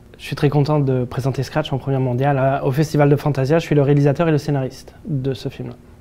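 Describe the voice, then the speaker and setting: Over noticeable background noise, a man speaks very fast with hardly any pauses, in monotone, flat intonation at a fairly high pitch. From France. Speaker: film director. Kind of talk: interview. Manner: hesitant, many fillers.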